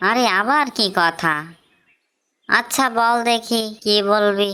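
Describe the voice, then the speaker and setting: A female-sounding cartoonish character voice speaks fairly slowly at a fairly high pitch. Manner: rude, bossy.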